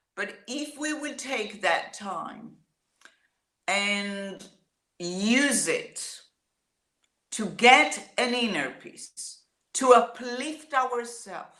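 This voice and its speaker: A woman with a high pitch and a bright, sharp tone at a very slow pace, with lively intonation, big swings in loudness, long, frequent pauses and audible room echo. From Israel. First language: Hebrew. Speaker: singer-songwriter. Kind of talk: interview.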